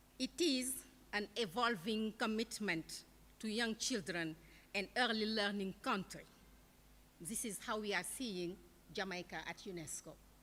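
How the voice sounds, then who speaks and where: Speaking with a non-native accent, a woman uses a fairly high pitch and a bright, sharp tone. Her intonation is lively and her pace moderate. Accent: non-native accent, self-noted. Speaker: keynote speaker, international education official. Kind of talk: keynote speech.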